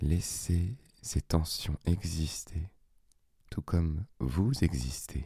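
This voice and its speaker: A man with a very deep, low pitch speaks at a very slow pace with long, frequent pauses, using a dark, mellow tone, a calm, soothing tone, vocal fry and lively intonation, in a dry, close sound with no echo. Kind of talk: guided meditation. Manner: slow, calm, soothing; gently pausing, spaced-out phrasing with long silences.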